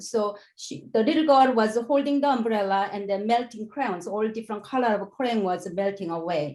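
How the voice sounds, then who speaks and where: A woman's fairly high voice with lively intonation. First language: not English. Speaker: education researcher. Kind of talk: conference presentation. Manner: halting.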